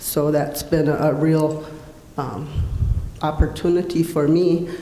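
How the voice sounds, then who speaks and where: In an American accent, a woman speaks with a very deep, low pitch and monotone, flat intonation. There is audible room echo and noticeable background noise. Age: 60s. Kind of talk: conference panel talk.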